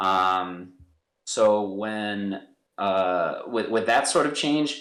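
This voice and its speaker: The voice carries a Midwestern American accent with ordinary pitch variation. Audible room echo surrounds it. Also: man. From US Midwest, St. Louis. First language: American Sign Language. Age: 30s. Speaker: professional soccer player. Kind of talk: podcast interview.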